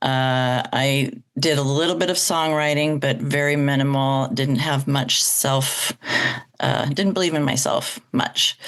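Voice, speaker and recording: Her very deep, low voice holds a very even loudness, with fairly even intonation and a fairly slow pace. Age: 60s. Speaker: choir director and jazz singer. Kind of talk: podcast interview.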